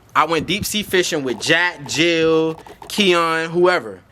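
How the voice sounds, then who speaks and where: The man's voice is fairly high and his tone animated. Noticeable background noise can be heard. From Florida. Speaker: YouTube creator. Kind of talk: tutorial. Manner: fast.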